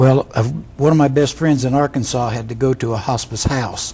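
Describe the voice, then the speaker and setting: Amid noticeable background noise, a man of medium pitch talks at a moderate pace with fairly even intonation. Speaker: hospice volunteer. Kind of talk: TV interview.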